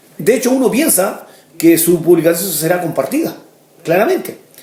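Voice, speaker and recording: Amid audible room echo, a man speaks high in pitch with lively intonation. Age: 60s. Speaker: pastor. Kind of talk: sermon.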